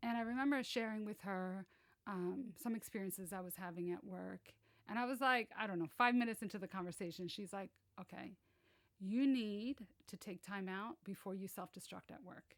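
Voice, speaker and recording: A woman at a medium pitch and moderate pace, with ordinary pitch variation and big swings in loudness. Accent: American. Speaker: banking executive. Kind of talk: podcast interview. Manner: hesitant, filler-heavy.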